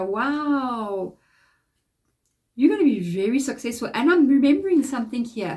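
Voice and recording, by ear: Fairly high in pitch, a woman's voice sounds nasal, with a dark, mellow tone. Her intonation is lively.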